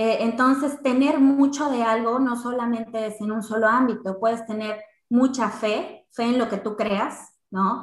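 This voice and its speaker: A woman with a plain, everyday voice speaks fairly slowly and in a fairly high pitch, with hardly any pauses and fairly even intonation. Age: 30s. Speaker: insurance and investment specialist. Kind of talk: casual interview chat.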